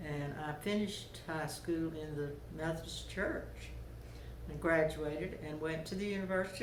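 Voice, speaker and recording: Speaking at a moderate pace in a Georgia accent, a woman with a fairly low pitch keeps her intonation fairly even, with audible room echo and noticeable background noise around her. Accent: Southern US, Georgia. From US South. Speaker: interviewee sharing life memories. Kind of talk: oral history interview.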